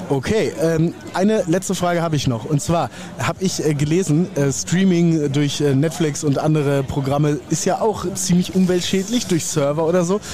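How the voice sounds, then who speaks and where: A man's high voice carries ordinary pitch variation and very even loudness over noticeable background noise. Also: moderate pace. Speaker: podcast host. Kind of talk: casual interviews. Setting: outdoors at a market, live recording.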